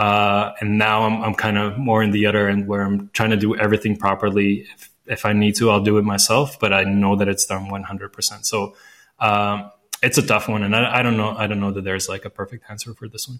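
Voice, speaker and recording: A fast-ish, flat monotone from a man with a Latvian accent, fairly low in pitch, with big swings in loudness. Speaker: recruiter and founder. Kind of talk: casual interview chat. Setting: remote call from Budapest.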